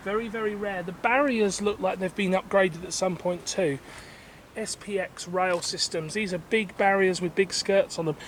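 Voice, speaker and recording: Speaking at a moderate pace, a man uses a high pitch. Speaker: railway level crossing video filmer. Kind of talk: on-location video commentary. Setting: outdoors at a level crossing. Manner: enthusiastic.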